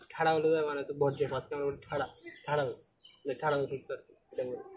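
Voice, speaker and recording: A man speaks with a Chittagong accent. Noticeable background noise runs underneath. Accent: Chittagonian. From Chittagong, Bangladesh. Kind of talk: comedy dialect comparison.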